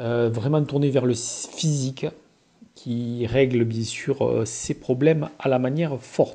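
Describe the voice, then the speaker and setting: Slow to a fault, a man with a medium pitch speaks at a very slow pace with fairly even intonation. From southern France, Occitanie. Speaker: gamebook reader and reviewer. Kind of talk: casual presentation of a gamebook. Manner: hesitant, many filler sounds.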